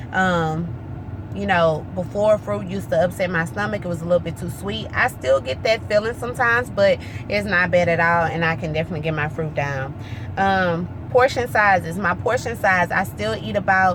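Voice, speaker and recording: Noticeable background noise runs beneath a woman speaking at a moderate pace. Her pitch is fairly low, with very wide swings. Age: 20s. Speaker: weight loss vlogger. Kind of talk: casual vlog update.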